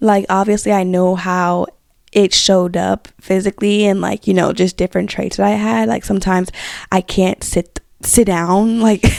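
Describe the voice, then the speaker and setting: A woman speaks with an American accent at a medium pitch, with ordinary pitch variation. The sound is dry and close, with no echo. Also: moderate pace. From Bronx, New York. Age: 20s. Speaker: podcast host. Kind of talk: casual podcast talk. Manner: casual, chatty.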